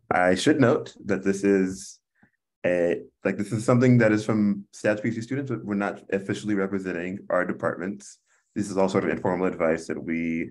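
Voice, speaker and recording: Against a quiet background, a man with a fairly low pitch talks at a moderate pace in an unremarkable speaking voice with ordinary pitch variation. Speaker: panel moderator. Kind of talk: webinar introduction. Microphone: video call.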